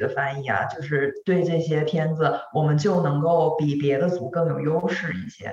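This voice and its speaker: A woman's fairly low voice at a moderate pace, with fairly even intonation and noticeable background noise. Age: 40s. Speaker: podcast co-host. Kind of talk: casual chat.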